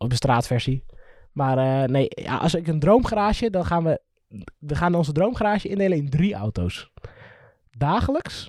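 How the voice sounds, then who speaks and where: An animated tone with very wide pitch swings, a moderate pace, and long, frequent pauses. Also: man, fairly high pitch for a man. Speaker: podcast co-host. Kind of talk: casual chat.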